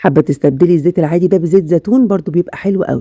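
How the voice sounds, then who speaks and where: A woman's fairly low, dark, mellow voice in an Egyptian accent, fairly quick, with ordinary pitch variation and a dry, close sound with no echo. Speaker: cooking channel host. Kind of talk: cooking tutorial. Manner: casual, chatty.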